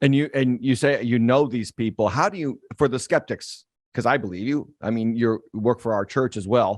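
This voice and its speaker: An ordinary speaking voice from a man at medium pitch, with ordinary pitch variation, a fairly quick pace, and dry, close sound with no echo. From western Massachusetts. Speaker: pastor. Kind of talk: interview.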